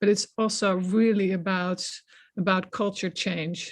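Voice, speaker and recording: A woman speaks at a medium pitch with a non-native accent against a quiet background. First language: not English. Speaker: science policy researcher. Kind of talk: panel discussion. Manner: hesitant, many fillers and repetitions.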